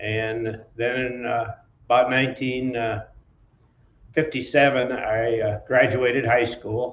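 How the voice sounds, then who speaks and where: Very slowly, a man with an Upper Midwest US accent talks at a medium pitch with monotone, flat intonation. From southwestern Wisconsin. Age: 80s+. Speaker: trucking company founder. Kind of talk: interview. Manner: halting, many fillers.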